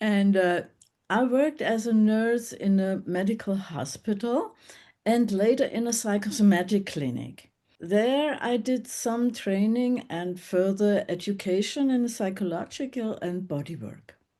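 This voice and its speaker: Against a quiet background, a woman with a dark, mellow tone and medium pitch talks fairly slowly with ordinary pitch variation. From Germany, Bavaria (Munich). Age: 70s. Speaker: former nurse and workshop facilitator. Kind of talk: interview conversation. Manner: halting.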